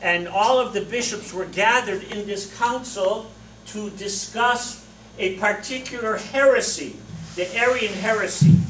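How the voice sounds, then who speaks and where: A loud, high male voice at a fairly slow pace, with audible room echo and noticeable background noise. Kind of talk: lecture. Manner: animated.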